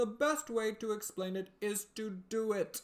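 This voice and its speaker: A put-on character voice with a fairly high pitch. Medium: read story. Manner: solemn, grave, pompous.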